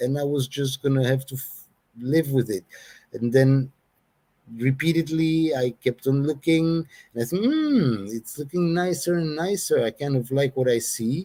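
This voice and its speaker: At a moderate pace, a fairly high-pitched man speaks with a dark, mellow tone and fairly even intonation. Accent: non-native. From Belgium. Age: 60s. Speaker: hair treatment customer. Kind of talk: interview. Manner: halting.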